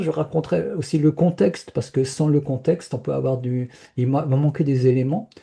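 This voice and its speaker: A man talks at a moderate pace with a medium pitch and ordinary pitch variation. His tone is dark and mellow and somewhat breathy. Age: 70s. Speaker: spiritual speaker sharing personal experience. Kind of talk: interview testimony. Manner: hesitant, many repetitions and fillers.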